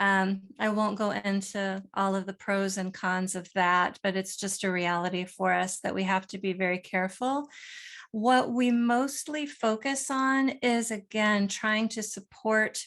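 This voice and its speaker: Against a quiet background, a woman with an American accent speaks at medium pitch and a fairly slow pace with hardly any pauses. It is an unremarkable speaking voice. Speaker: nonprofit co-founder and author. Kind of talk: panel discussion.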